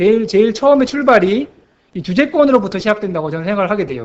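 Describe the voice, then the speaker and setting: The speech races at a very fast pace, with lively intonation and big swings in loudness. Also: man. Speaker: missionary. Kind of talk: sermon; missionary report. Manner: halting, stammering.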